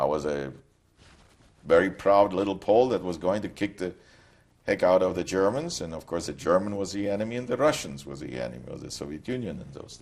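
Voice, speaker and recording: A man with a Polish accent speaks at a very deep, low pitch with vocal fry. His loudness swings widely. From Poland, Krakow. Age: 60s. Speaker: Holocaust survivor. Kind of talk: testimony. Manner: halting.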